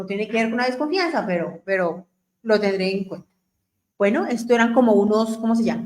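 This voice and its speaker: A woman has an unremarkable speaking voice, fairly high in pitch. She talks at a fairly quick pace with ordinary pitch variation. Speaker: radio host. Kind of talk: radio talk on family topics.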